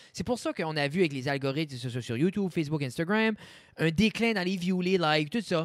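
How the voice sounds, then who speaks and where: Lively intonation marks this man's fairly quick speech. The sound is dry with no echo, over a quiet background. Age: 30s. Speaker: podcast co-host; podcast host. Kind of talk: casual chat. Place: studio. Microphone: studio mic.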